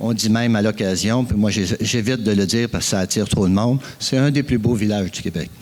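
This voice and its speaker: Very fast speech from a man, fairly low in pitch and fairly even in intonation. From Quebec, Eastern Townships (Frelighsburg). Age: 60s. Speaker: farmer and forest producer, conference speaker. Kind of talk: conference talk. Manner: hesitant, many fillers.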